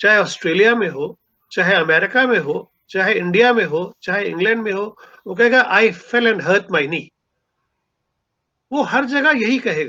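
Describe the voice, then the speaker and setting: This man's raised, projected voice sits high in pitch, with a bright, sharp tone and lively intonation. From Punjab, India. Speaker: writer and seminar speaker. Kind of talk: lecture.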